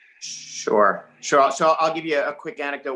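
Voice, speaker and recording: A man speaks with a New York accent. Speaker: investor. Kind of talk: webinar panel discussion.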